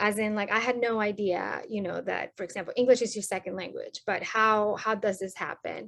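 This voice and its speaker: A woman with a Spanish accent speaks at a fairly quick pace. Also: quiet background. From Colombia. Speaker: sociology academic. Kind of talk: podcast interview.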